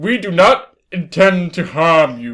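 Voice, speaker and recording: A man's put-on character voice, high in pitch with very wide pitch swings, at a fairly slow pace. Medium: read story. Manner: formal, stiff.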